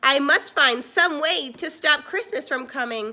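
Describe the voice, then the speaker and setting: A woman's put-on character voice, high in pitch and growling, at a moderate pace. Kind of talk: storybook narration. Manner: growling, scheming.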